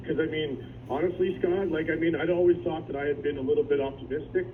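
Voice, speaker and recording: A man speaks with a fairly high pitch. The recording has audible room echo and noticeable background noise. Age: 30s. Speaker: former adult education student. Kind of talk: radio interview testimony. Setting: phone call. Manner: animated.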